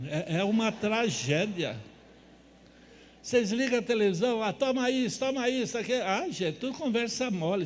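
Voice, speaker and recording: With audible room echo around him, a man speaks at a moderate pace using lively intonation. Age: 70s. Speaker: natural health lecturer. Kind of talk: lecture. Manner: animated.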